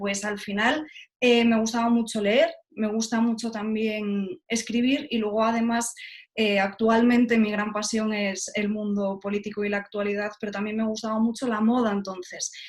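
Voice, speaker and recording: Somewhat breathy, a woman with a fairly high pitch speaks at a moderate pace. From Spain, Galicia (Lugo). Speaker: journalist, TV presenter. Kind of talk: interview.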